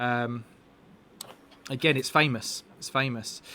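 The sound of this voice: Medium in pitch and bright, sharp in tone, a man speaks at a moderate pace.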